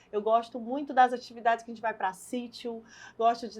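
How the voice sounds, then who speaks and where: A woman's fairly high voice at a moderate pace. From Brazil, Fortaleza, Ceará. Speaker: politician, party leader and lawyer. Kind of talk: interview.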